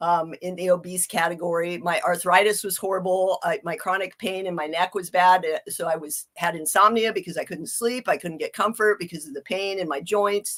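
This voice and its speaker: A woman with a normal speaking voice and medium pitch talks at a fairly quick pace with fairly even intonation and hardly any pauses. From Ohio, US Midwest. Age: 50s. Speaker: health coach. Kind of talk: interview.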